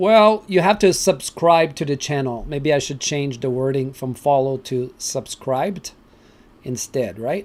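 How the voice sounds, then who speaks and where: At a fairly slow pace and with ordinary pitch variation, a man speaks in a French Canadian accent on a very clean recording with a silent background. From Canada (French-speaking). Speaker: crypto channel host. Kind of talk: live stream chat with viewers. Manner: casual, halting with fillers.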